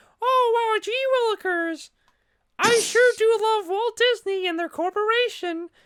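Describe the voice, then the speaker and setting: An extremely high, squeaky put-on character voice at a fairly slow pace. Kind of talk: old-fashioned exclamations. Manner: cheerful, fawning, mocking.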